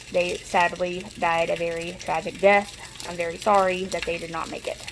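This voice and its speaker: This speaker talks at a moderate pace in a Southern US accent, with monotone, flat intonation and big swings in loudness. There is noticeable background noise behind the voice. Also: woman, fairly low pitch for a woman. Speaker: cooking vlogger. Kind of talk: cooking tutorial. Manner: casual, chatty.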